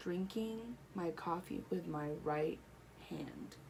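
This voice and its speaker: A woman with a fairly low pitch speaks at a very slow pace amid audible room echo. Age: adult. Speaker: stroke survivor sharing her story. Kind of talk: personal testimony vlog. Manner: halting, with repetitions and fillers.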